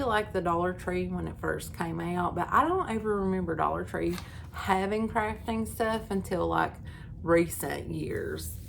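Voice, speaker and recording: A woman speaks with an Appalachian accent. Room echo is audible. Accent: Appalachian Kentucky. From eastern Kentucky, Knott County (Appalachia). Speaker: crochet YouTuber. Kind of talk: casual chat. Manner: casual, filler-heavy.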